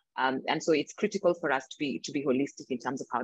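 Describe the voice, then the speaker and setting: Someone with a Kenyan accent talks at a fairly quick pace with ordinary pitch variation over a quiet background. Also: woman. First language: not English; English is her third language. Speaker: reproductive justice advocate. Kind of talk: panel discussion.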